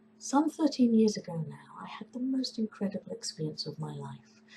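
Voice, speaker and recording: This woman has a medium pitch and an English accent. She talks at a moderate pace. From England. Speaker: composer. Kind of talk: opinion statement to camera.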